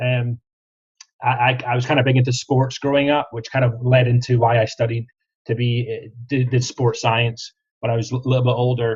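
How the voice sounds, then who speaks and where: With a Scottish accent, a man speaks at a medium pitch in a somewhat breathy voice. His intonation is monotone and flat. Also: moderate pace. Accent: Scottish, sometimes taken for Australian. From Scotland, Kirriemuir near Dundee. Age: 30s. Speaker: franchise sales specialist. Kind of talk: podcast interview.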